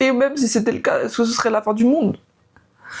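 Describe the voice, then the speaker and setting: High female speech at a moderate pace, showing ordinary pitch variation. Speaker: vlogger. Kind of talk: personal vlog monologue.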